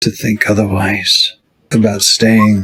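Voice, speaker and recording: A man's put-on character voice, raspy and fairly low, delivered fairly slowly in a monotone, flat way. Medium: actual play.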